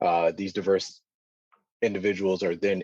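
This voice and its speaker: A man with an American accent talks at a fairly quick pace. His pitch is very deep and low. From US inner city. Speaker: data science alumnus. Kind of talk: panel discussion. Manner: halting, many fillers.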